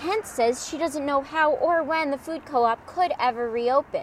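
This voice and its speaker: Noticeable background noise surrounds a woman. Her intonation is lively. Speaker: television news reporter. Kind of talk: broadcast news reporter package narration.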